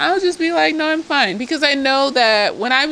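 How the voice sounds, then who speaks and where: Noticeable background noise accompanies a woman who talks fairly quickly. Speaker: therapist reviewing a TV show. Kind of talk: casual tipsy TV episode review. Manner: animated, profane.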